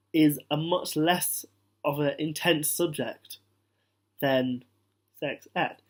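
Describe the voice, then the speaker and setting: A man's fairly high voice with a British accent. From British Indian, Punjabi. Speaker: vlogger. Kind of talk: casual talk to camera.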